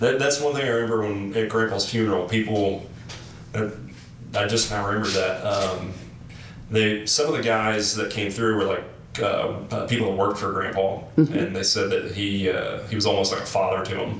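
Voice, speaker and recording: Amid noticeable background noise, a man speaks in a fairly low voice with fairly even intonation. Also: moderate pace. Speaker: interviewer. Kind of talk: casual interview conversation.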